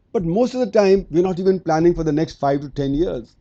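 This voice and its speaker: Lively intonation marks this man's high voice, with its dark, mellow tone. He talks at a fairly quick pace. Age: 60s. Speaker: economist. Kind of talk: conference keynote speech. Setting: lecture theater with audience.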